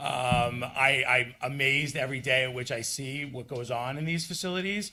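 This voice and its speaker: A loud man's voice, bright and sharp in tone, medium in pitch, at a moderate pace with ordinary pitch variation. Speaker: waste collection company owner. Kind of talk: public presentation at village board meeting. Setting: public meeting room, microphone for live stream. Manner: casual, halting with many fillers.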